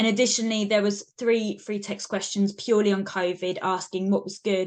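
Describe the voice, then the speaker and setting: Over a quiet background, a woman with a British accent talks fairly quickly at a medium pitch in a monotone, flat intonation. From UK. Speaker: university researcher. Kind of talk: webinar presentation.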